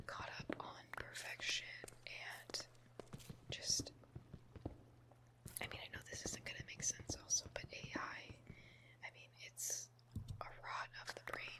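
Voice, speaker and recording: A woman whispers with long, frequent pauses. Noticeable noise sits in the background. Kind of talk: ASMR whispered rambling and venting over Minecraft gameplay. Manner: whispered, soft, rambling.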